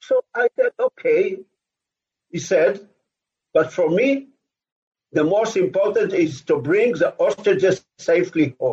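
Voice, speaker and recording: A man with an Israeli accent talks at a fairly slow pace with long, frequent pauses and very even loudness, in a dry, close sound with no echo. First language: Hebrew. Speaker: former army officer. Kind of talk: interview. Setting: video call.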